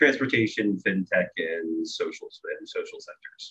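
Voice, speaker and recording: With an American accent, a man keeps to a moderate pace. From Virginia, US East Coast. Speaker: software company owner. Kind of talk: casual interview chat.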